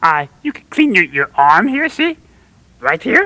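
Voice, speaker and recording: This cartoonish character voice sits at a fairly high pitch and swings very widely in pitch. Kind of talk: children's TV puppet comedy. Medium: puppet show. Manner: earnest, rambling, hesitant with fillers.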